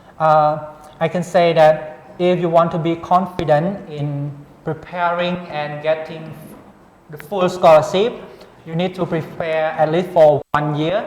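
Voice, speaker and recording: A Cambodian accent over noticeable background noise. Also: fairly slow pace. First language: Khmer. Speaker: international graduate student. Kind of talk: interview. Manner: halting.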